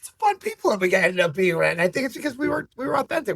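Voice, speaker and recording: A high-pitched man is heard in a dry, close sound with no echo. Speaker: business owner. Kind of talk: casual interview. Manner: loud.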